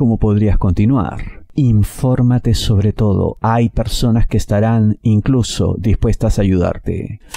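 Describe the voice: Fairly slow and with few pauses, a man speaks at a fairly low pitch in a dark, mellow tone, with vocal fry and ordinary pitch variation.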